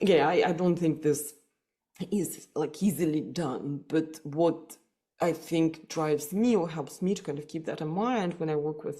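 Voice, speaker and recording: A woman's very deep, low voice in a Russian accent, dark and mellow, with ordinary pitch variation at a fairly slow pace. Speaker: psychotherapist. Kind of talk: podcast interview. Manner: hesitant, many fillers and repetitions.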